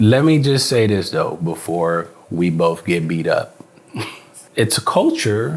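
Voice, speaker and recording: A man speaks at a very slow pace with a fairly low pitch. His pitch swings very widely. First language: Spanish. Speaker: actor. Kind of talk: casual interview chat. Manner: animated.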